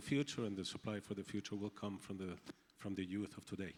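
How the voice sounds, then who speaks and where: A man with a Spanish accent speaks at a fairly low pitch. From Colombia. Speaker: agribusiness company executive. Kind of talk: panel discussion. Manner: halting, with repetitions.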